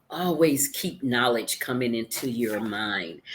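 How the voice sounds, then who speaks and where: A woman speaks at a very slow pace. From US South, Memphis, Tennessee. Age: 70s. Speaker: author. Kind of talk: interview.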